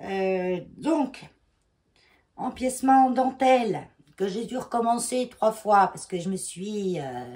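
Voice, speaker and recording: A woman's dark, mellow tone with lively intonation. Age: 50s. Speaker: knitting vlogger. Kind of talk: casual vlog talk. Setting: at home, in her bedroom. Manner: hesitant, many fillers.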